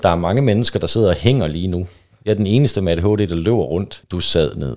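An unremarkable speaking voice from a man, fairly low and fairly quick, with ordinary pitch variation. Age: 30s. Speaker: guest in swinger lifestyle. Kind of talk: casual chat.

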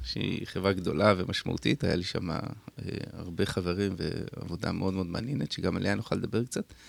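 Vocal fry runs through this man's voice. His pitch is fairly low. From Israel, kibbutz in the north. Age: 50s. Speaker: tech entrepreneur. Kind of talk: radio interview. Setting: radio studio.

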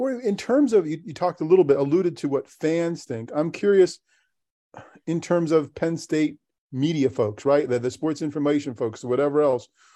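Lively, moderately paced speech from a man, fairly high in pitch yet dark and mellow in tone. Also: quiet background. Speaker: podcast co-host. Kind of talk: casual interview chat.

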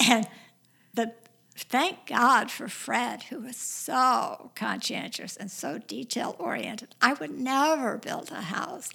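A woman's high-pitched voice with a bright, sharp tone, very wide pitch swings and a very slow pace. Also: big swings in loudness. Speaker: widow sharing late husband's story. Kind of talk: casual interview, storytelling.

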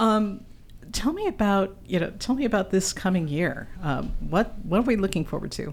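Her voice plain and everyday, a woman speaks at medium pitch and a moderate pace with lively intonation. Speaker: podcast host. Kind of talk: casual interview. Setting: recording in a historic house.

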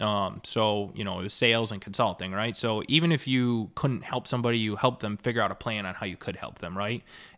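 A man with an American accent talks at a fairly quick pace in a bright, sharp tone. The recording is very clean, with a silent background. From central New York, Mohawk Valley. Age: 20s. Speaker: mortgage loan consultant and farmer. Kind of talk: casual chat.

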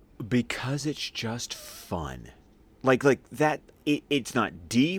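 Over a silent background in a very clean recording, a man with medium pitch and vocal fry sounds animated. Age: 30s. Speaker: podcaster. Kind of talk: casual chat.

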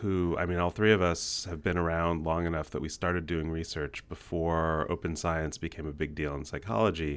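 A man speaks in a very deep, low voice. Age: 40s. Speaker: psychology professor and podcast host. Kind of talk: casual chat. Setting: video call.

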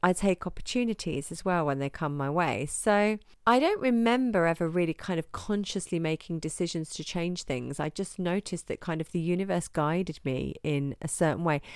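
Speaking at a fairly quick pace with hardly any pauses and ordinary pitch variation, the voice has an English accent on a very clean recording with a silent background. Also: woman, fairly low pitch for a woman. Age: 40s. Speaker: yoga teacher and podcast host. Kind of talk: casual solo podcast talk.

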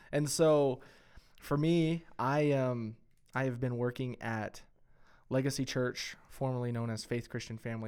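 Fairly slow speech from a man with a West Texas accent, ordinary pitch variation, and a very clean recording with a silent background. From West Texas (Friona). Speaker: podcast co-host, church worker. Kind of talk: casual chat.

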